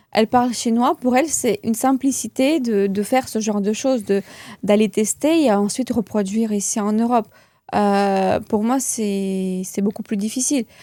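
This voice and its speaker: A woman's fairly high voice in a Russian accent, at a moderate pace with ordinary pitch variation, dry and close with no echo, on a very clean recording with a silent background. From Russia (moved to France at 11). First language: Russian (speaking French). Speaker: beauty entrepreneur and trainer. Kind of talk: interview. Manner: halting, many fillers and repeats.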